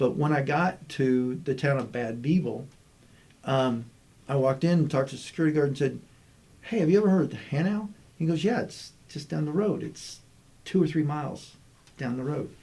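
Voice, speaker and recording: With an American accent, a man speaks fairly quickly in a fairly high, somewhat breathy voice of dark, mellow tone, with ordinary pitch variation and long, frequent pauses. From US South, Army brat raised partly in Germany and Texas. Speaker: state chief information officer. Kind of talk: casual interview chat. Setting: podcast recording.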